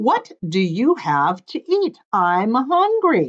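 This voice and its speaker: In a put-on character voice, a woman speaks at a very slow pace with a fairly high pitch. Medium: read story. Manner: confident.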